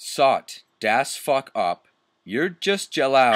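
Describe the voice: A quiet background behind plain reading aloud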